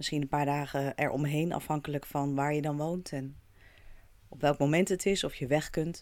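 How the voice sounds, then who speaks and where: The monotone, flat intonation moves at a moderate pace in a very clean recording with a silent background. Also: woman, very deep, low pitch for a woman. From Netherlands. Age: 40s. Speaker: podcast host. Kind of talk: solo podcast monologue.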